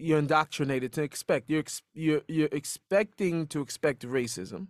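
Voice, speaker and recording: An ordinary speaking voice with an American accent moves at a moderate pace with lively intonation. The recording is very clean and silent in the background, with a dry, close sound and no echo. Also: man. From US Pacific Northwest, Seattle. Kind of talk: casual interview conversation.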